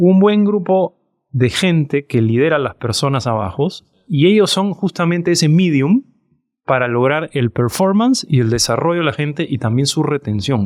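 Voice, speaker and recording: With lively intonation and an ordinary speaking voice, a man talks at a moderate pace and a fairly high pitch, the sound dry and close with no echo against a quiet background. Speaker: startup CEO and co-founder. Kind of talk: interview.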